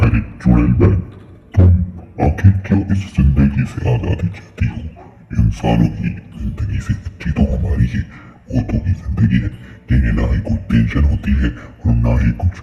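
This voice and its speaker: A man performs a cartoonish character voice with a very deep, low pitch at a moderate pace. A clear echo surrounds it. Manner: casual, friendly.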